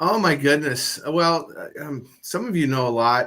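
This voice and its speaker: A man with an American accent, ordinary pitch variation and a bright, sharp tone. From Washington state, US Pacific Northwest. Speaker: presenter at networking meeting. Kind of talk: casual networking chat. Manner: halting, many fillers.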